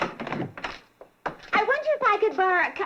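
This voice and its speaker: A squeaky put-on character voice at a fairly quick pace. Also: woman, extremely high pitch for a woman. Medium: cartoon. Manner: nosy, flustered.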